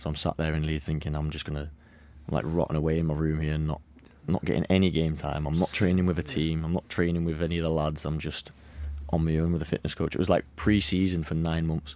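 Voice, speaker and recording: Very fast, flat, monotone speech in a dark, mellow tone with a Cumbrian accent, in a very clean recording with a silent background. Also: man, very deep, low pitch for a man. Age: 20s. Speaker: footballer. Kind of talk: podcast interview.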